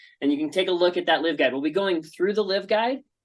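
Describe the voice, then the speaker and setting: The background is quiet. The voice has ordinary pitch variation. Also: man. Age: 30s. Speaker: essential oils seller teaching a class. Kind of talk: online presentation class. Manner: fast.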